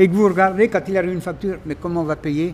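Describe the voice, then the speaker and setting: With music in the background, a man talks at a very fast pace. His pitch is high. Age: 80s+. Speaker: farmer. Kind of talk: documentary interview answer.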